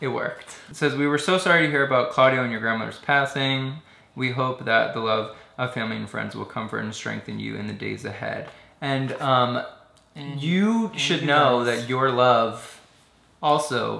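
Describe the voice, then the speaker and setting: The man talks at a moderate pace. Audible room echo surrounds his voice. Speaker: vlogger. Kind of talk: casual vlog chat. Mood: warm, touched, playful. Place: home room. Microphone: camera far.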